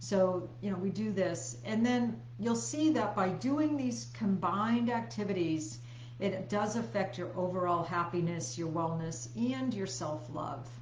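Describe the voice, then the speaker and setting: Over noticeable background noise and audible room echo, a woman talks at a fairly slow pace with hardly any pauses, her fairly low pitch making very wide swings. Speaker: health coach. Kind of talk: live stream presentation. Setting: live video stream.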